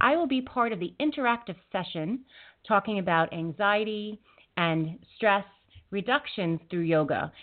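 A woman talks at a moderate pace in a plain, everyday voice. Her pitch is medium and her intonation lively. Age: 40s. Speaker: internet radio host and intuitive wellness practitioner. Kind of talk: talk radio interview.

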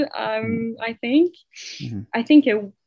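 A woman with a Quebec accent speaks in a fairly high pitch. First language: French. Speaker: girlfriend of a man killed by police. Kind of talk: interview. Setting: call. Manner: halting.

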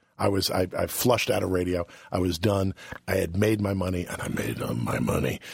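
A man with an American accent, very deep and low in pitch, at a moderate pace amid noticeable background noise. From New York. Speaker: radio host. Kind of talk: casual chat. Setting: studio.

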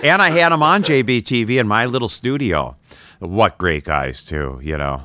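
A man's bright, sharp tone at medium pitch, with vocal fry, very wide pitch swings, and a moderate pace. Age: 70s. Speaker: podcast host and interviewer. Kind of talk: casual interview chat. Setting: studio.

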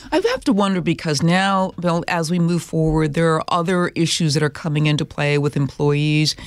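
A woman talks at a moderate pace in an ordinary speaking voice. Her loudness stays very even and her intonation fairly even. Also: fairly low pitch for a woman. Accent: American. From Minnesota. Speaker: podcast host and religion correspondent. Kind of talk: interview.

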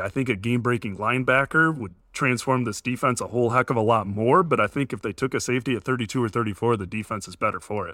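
At a very fast pace, a man talks at a medium pitch with ordinary pitch variation and a bright, sharp tone, the sound dry and close with no echo on a very clean recording with a silent background. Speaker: podcast host, sports reporter. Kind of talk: casual sports podcast chat.

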